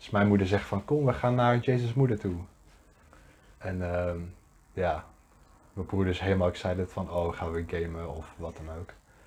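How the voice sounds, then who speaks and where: At a moderate pace, a man with a very deep, low pitch and ordinary pitch variation speaks somewhat breathily, with long, frequent pauses and big swings in loudness. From Netherlands, Deventer. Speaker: podcast co-host. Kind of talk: casual chat.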